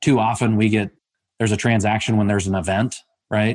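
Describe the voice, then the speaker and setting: Over a quiet background, a man talks at a very fast pace. His voice is fairly low, with fairly even intonation. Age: 40s. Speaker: investment banker. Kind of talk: interview.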